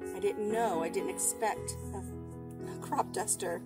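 Music plays in the background. A woman speaks at a fairly slow pace. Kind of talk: casual vlog chat. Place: farm machine. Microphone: camera far.

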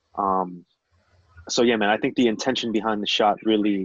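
A man with an American accent talks at a fairly quick pace in a fairly low, monotone, flat voice. The sound is dry with no echo, over a quiet background. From North New Jersey. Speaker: photographer; podcast guest. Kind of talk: casual chat. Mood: relaxed, reflective. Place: home room. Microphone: video call.

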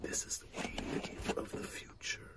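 A man whispers at a fairly slow pace.

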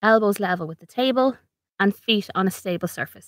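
In an Irish accent, a woman speaks at medium pitch and a moderate pace. Her intonation is lively, and the sound is dry and close with no echo. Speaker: ergonomics consultant and podcast host. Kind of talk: informative podcast monologue. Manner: conversational, practical, friendly.

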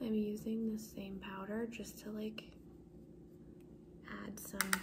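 Loud background noise surrounds a soft-spoken woman. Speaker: beauty vlogger. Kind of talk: casual vlog chat. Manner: soft-spoken ASMR voice, quiet. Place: home room. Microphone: phone near.

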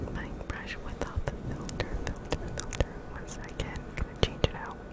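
A woman whispers. Her pace is moderate. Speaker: ASMR streamer. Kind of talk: ASMR livestream whispered rambles. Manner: whispered. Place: home room. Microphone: studio mic.

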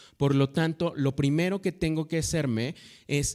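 Over a quiet background, a man speaks at a fairly high pitch with a dark, mellow tone. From Mexico. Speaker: veterinary professor. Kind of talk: lecture. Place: hall. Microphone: handheld.

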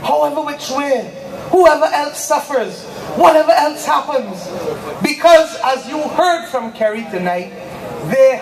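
Noticeable background noise sits behind the voice. A woman talks at a fairly slow pace. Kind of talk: political rally speech.

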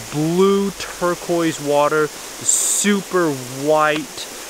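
The recording of a man's voice sounds dry with no echo, with noticeable background noise. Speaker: travel vlogger. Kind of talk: casual vlog chat. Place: waterside. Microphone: phone near.

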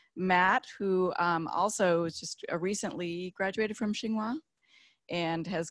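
A woman talks at a fairly slow pace in a normal speaking voice, fairly low in pitch with ordinary pitch variation, in a dry sound with no echo and a quiet background. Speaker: program staff leading info session. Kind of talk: informational presentation. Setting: room with small audience, also streamed online. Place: hall.

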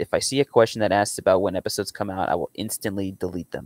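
With an unremarkable speaking voice, a man talks at a fairly quick pace and a fairly low pitch, the sound dry with no echo and the background quiet. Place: home room.

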